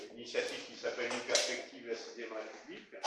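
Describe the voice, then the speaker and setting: A man is speaking. There is audible room echo. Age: 60s. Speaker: retired software engineer giving a talk. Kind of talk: presentation talk. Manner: halting, many filler sounds.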